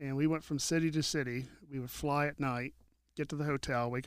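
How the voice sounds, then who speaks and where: A man with an ordinary speaking voice and an American accent talks at a fairly quick pace. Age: 50s. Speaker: lighting technician. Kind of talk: casual chat.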